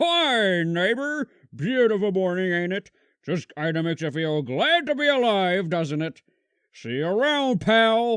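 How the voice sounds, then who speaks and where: A man puts on a cartoonish character voice at a high pitch with very wide pitch swings, keeping a moderate pace. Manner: folksy, casual.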